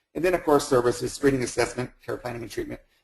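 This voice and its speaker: A man speaks in a somewhat breathy voice. His intonation stays fairly even. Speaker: health center administrator. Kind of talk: webinar presentation. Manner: fast; halting, repeats words.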